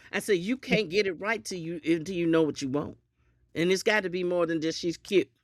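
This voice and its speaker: A woman speaks with a Southern US accent at a fairly low pitch, her tone animated and her pitch varying in an ordinary way. The pace is fairly quick, and the recording is very clean with a silent background. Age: 60s. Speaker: podcast guest. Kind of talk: casual chat.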